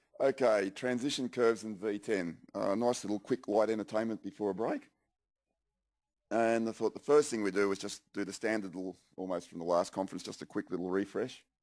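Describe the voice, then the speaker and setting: Speaking at a fairly quick pace with an Australian accent, a man uses a fairly low pitch and fairly even intonation on a very clean recording with a silent background. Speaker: software engineer presenter. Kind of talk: conference presentation. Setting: conference stage with audience.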